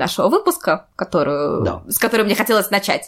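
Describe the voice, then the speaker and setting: A woman's fairly high voice shows vocal fry and very wide pitch swings. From St Petersburg, Russia. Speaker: podcast host and editor. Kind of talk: casual chat.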